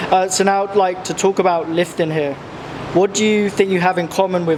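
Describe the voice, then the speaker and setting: A man's fairly quick speech with fairly even intonation over noticeable background noise. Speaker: interviewer. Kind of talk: interview.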